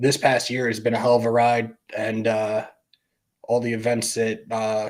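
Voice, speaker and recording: The man's voice, medium in pitch, moves at a fairly slow pace. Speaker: sports YouTube host. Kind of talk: livestream casual talk.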